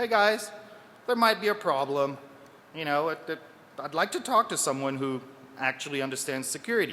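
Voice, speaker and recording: Pitched fairly high, a man talks at a fairly quick pace with very wide pitch swings and long, frequent pauses. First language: French. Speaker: security researcher. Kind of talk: conference talk. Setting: stage with audience.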